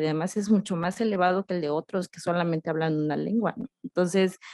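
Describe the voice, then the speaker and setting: Against a quiet background, a woman speaks at a fairly low pitch in a dry, close sound with no echo. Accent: Yucatán. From Yucatán, Mexico (Oxkutzcab). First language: Yucatec Maya (speaking Spanish). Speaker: poet and writer, educator. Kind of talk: interview. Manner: hesitant, many fillers.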